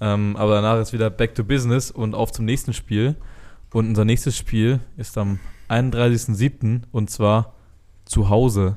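Here a man talks in a dark, mellow tone at medium pitch, with monotone, flat intonation. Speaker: American football player and podcast host. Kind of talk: casual chat. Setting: office.

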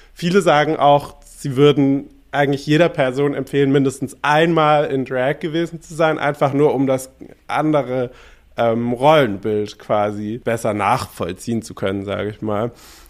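A man speaks with a fairly high pitch and ordinary pitch variation. He keeps a moderate pace. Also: big swings in loudness. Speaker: drag artist and podcast co-host. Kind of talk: casual chat. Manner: casual street-style speech.

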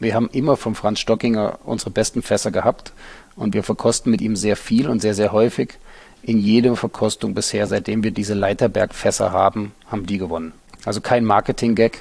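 A plain, everyday voice from a man, pitched fairly low, moving fairly quickly, intonation fairly even. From eastern Germany, Halle an der Saale. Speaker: winery director. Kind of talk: interview. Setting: dark room at the winery.

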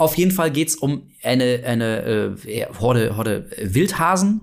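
At a medium pitch, a man talks with lively intonation. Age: 40s. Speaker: horror podcast co-host. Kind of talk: casual chat. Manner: animated.

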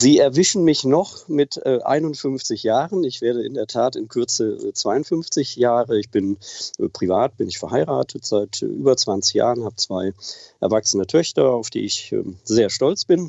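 A man in a plain, everyday voice, fairly slow, with lively intonation at a medium pitch. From Germany, Oberbergisches Land near Cologne. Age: 50s. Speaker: aviation association president. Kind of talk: interview. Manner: formal.

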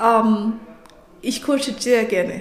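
Speaking with a non-native accent, a woman uses a fairly high pitch and fairly even intonation. Audible room echo and noticeable background noise surround her. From Nigeria. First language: not German (speaking German). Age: 30s. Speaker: coach and IT specialist. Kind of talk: interview.

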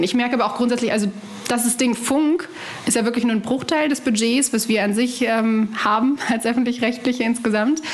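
With noticeable background noise behind her, a woman talks at a fairly quick pace in a high pitch, with ordinary pitch variation and very even loudness. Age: 20s. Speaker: journalist and presenter. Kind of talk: casual interview. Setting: remote call from home kitchen.

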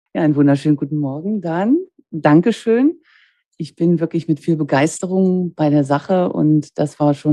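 A dark, mellow tone with ordinary pitch variation. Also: woman. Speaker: master dental technician and lab owner. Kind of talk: interview conversation. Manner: cheerful, smiling tone.

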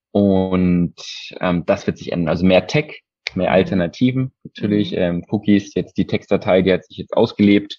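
Very deep and low, a man's voice has a dark, mellow tone and ordinary pitch variation. The sound is dry and close with no echo, at a moderate pace. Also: big swings in loudness. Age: 20s. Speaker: e-commerce customer experience advisor. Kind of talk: interview.

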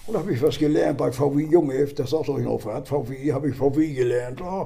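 Speaking at a fairly quick pace, a man with a fairly high pitch has a dark, mellow tone and vocal fry. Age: 70s. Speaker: retired football superfan. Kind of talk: casual chat.

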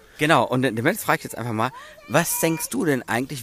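Noticeable background noise runs under this recording. A man talks at a fairly quick pace. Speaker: hobby brewer podcast co-host. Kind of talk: casual chat; on-location report. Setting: outdoors in a garden.

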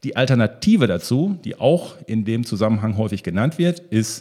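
His pitch leaps across a very wide range. The man's tone is dark and mellow. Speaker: podcast host on leadership. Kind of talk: solo podcast monologue. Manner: animated.

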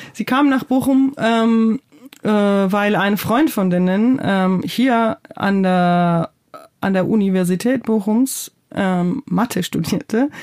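The speaker talks at a very slow pace in a Georgian accent, with ordinary pitch variation. Loudness stays very even throughout. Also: woman, medium pitch for a woman. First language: Georgian (speaking German). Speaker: playwright and theatre director. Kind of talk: interview. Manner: hesitant, many fillers.

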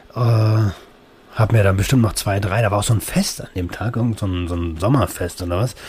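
A man talks at a moderate pace with ordinary pitch variation, and noticeable background noise can be heard. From Berlin, Germany. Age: 30s. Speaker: podcast host. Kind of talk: personal monologue. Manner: casual, with many fillers.

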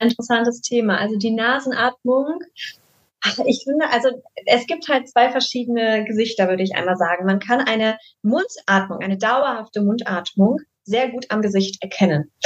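A woman speaks in a normal speaking voice at a fairly high pitch. Her pace is moderate and her pitch variation ordinary. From Düsseldorf, Germany. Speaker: face yoga teacher. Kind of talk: podcast interview.

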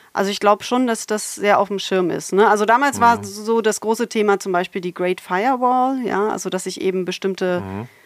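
A woman's medium-pitched voice at a fairly quick pace, with hardly any pauses, ordinary pitch variation and a very clean recording over a silent background. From Germany, Berlin. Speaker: computational linguistics professor. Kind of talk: interview. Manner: hesitant with many fillers.

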